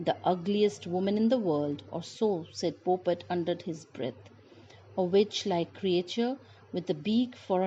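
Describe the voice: Words are read out plainly, and the pitch rises and falls in a normal way.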